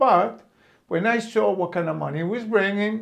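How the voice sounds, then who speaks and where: A man with a high pitch speaks at a moderate pace with very wide pitch swings. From Brooklyn, New York. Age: 70s. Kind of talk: personal memoir talk. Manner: casual, hesitant.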